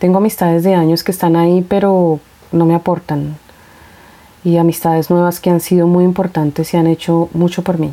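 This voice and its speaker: A woman's fairly low-pitched, dark, mellow voice at a moderate pace, with monotone, flat intonation and very even loudness. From Colombia, Bogotá. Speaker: podcast host. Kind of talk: casual monologue, Q&A.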